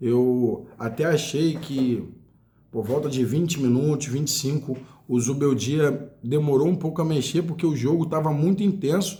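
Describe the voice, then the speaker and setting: Somewhat breathy and dark, mellow in tone, a man's fairly high voice moves at a moderate pace with ordinary pitch variation amid audible room echo. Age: 40s. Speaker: football fan commentator. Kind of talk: casual monologue. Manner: animated.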